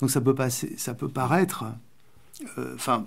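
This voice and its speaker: A man speaks at a fairly slow pace. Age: 60s. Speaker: poet and writer, former far-left activist. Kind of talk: radio interview. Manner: halting, searching for words.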